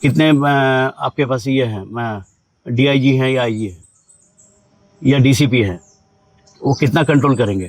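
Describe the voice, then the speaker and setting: A man talks at a medium pitch with ordinary pitch variation. He leaves long, frequent pauses. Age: 60s. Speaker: interviewee with legal grievance. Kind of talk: interview. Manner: halting.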